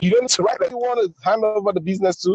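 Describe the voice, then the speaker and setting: A man speaks with a Nigerian accent in a dark, mellow tone. The sound is dry and close with no echo. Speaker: driving school owner, webinar participant. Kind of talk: casual testimony on webinar. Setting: in a car, video call.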